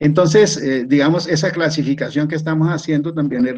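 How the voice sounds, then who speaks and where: A man is speaking here. His pitch is fairly high and his pace fairly quick. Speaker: retired professor, systems engineer. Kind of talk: online seminar lecture. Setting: video call. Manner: halting, with repetitions.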